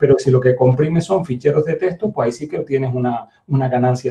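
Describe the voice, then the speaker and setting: A man speaks at a fairly quick clip in a dark, mellow tone that is somewhat breathy. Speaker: university lecturer. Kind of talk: lecture. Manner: fast; hesitant fillers.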